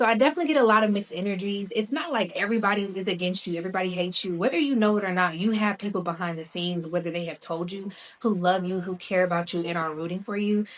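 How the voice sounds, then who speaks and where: Speaking very fast with hardly any pauses, a woman with a slight Southern US accent uses a medium pitch and ordinary pitch variation. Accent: slight Southern country twang. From US South. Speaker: spiritual tarot reader. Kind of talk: tarot reading. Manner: casual, conversational.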